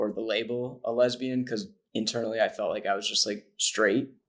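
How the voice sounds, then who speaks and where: In a normal speaking voice, a man of medium pitch talks at a moderate pace on a very clean recording with a silent background. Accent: American. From upstate New York, Syracuse. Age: 20s. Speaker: transgender advocate guest. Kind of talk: personal testimony in interview.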